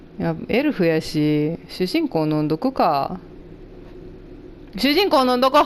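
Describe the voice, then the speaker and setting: A woman speaks at a medium pitch and a fairly slow pace. Her pitch swings very wide, and she leaves long, frequent pauses. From Japan (Kansai region). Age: middle-aged. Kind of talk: casual let's play game commentary.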